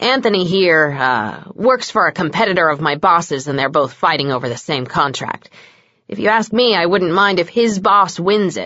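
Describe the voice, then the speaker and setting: A woman does a put-on character voice at a fairly low pitch and a moderate pace. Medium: read story. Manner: blunt, sarcastic.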